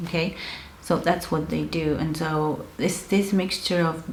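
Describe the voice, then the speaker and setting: Over noticeable background noise, a woman with an Argentine accent speaks fairly slowly at a fairly low pitch, with ordinary pitch variation. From Argentina. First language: Spanish. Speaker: counselor. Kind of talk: educational talk to camera.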